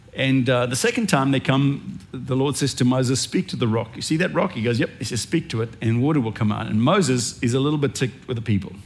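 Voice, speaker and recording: A man's somewhat breathy voice at medium pitch moves at a fairly quick pace. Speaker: pastor. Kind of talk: sermon. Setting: church.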